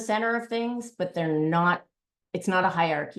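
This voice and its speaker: Over a quiet background, a woman speaks at a moderate pace with a fairly low pitch and ordinary pitch variation. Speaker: workshop facilitator and lecturer. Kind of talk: online workshop presentation. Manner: hesitant, many fillers.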